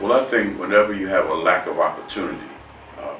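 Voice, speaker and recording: Noticeable background noise is present. There is audible room echo as well. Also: man. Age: 50s. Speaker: minister and city relocation officer. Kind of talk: interview. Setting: city hall office.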